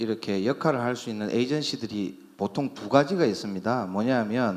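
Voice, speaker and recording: With a Busan accent, this man talks with ordinary pitch variation. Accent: Busan dialect (Gyeongsang). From South Korea, Busan. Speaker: company CEO, medical tourism agency. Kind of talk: conference presentation. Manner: hesitant, many fillers.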